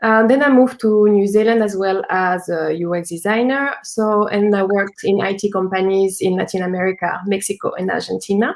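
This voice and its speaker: A woman of medium pitch talks at a fairly quick pace with a French accent, fairly even intonation and hardly any pauses. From France. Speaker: UX designer and entrepreneur. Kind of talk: live talk interview.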